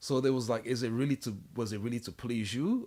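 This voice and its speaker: A dark, mellow tone with ordinary pitch variation comes at a very fast pace, spoken with a French accent. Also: man. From Africa, French-speaking. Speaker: podcast co-host. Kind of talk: casual chat. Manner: animated.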